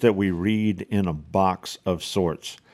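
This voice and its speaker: A man with a South Louisiana accent speaks in a dark, mellow tone. The recording is very clean, with a silent background. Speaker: podcast host. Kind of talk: solo podcast monologue. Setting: home office. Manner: halting, many fillers.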